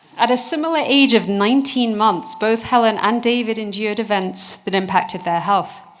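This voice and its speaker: Speaking with a British accent at a moderate pace, a woman with a fairly high pitch and ordinary pitch variation barely pauses, while noticeable background noise sounds behind her. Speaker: researcher. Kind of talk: award presentation speech.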